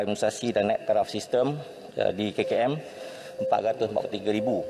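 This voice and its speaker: A man at a fairly slow pace, with light background noise. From Malaysia. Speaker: government minister; minister answering in parliament. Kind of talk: parliamentary answer. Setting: parliament chamber. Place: hall. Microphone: podium.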